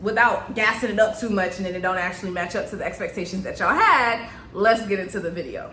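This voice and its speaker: In an American accent, a woman at a medium pitch talks very fast with ordinary pitch variation and big swings in loudness, amid noticeable background noise and audible room echo. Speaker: nurse and vlogger. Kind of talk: story time vlog. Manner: casual, conversational.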